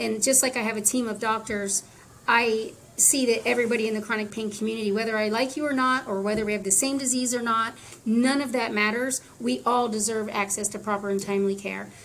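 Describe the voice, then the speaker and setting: A woman's fairly high voice at a fairly quick pace, fairly even in intonation, against noticeable background noise. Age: 50s. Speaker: patient advocate. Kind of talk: interview.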